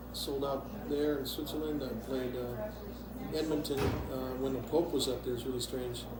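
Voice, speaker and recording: Recorded with audible room echo and noticeable background noise, a man with an American accent talks at a moderate pace with hardly any pauses. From Wisconsin, US Midwest. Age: 60s. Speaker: musician. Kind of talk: interview. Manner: halting.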